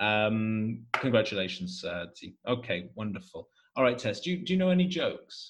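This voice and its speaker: Somewhat breathy, a man speaks at a medium pitch and a moderate pace with a Welsh accent. His pitch swings very widely. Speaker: podcast host and English teacher. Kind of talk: casual chat.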